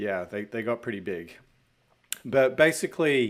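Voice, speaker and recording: The speaker is a man. He talks in an Australian accent. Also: very clean recording, silent background. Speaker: fractional CFO and entrepreneur. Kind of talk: podcast interview.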